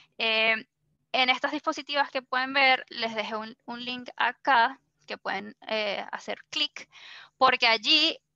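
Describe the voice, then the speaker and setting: A woman's high-pitched, bright, sharp voice at a very slow pace, with fairly even intonation, big swings in loudness, a dry, close sound with no echo and a quiet background. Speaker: workshop facilitator. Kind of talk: workshop presentation.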